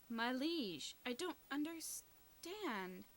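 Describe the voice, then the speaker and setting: Putting on a character voice, a woman speaks at a high pitch with very wide pitch swings. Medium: game stream. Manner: noble, earnest.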